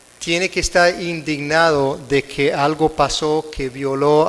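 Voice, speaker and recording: A man speaks fairly slowly with an American accent. His intonation is flat and monotone. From United States. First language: English (speaking Spanish). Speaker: conference speaker, prosecutor. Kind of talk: lecture. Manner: halting, self-correcting.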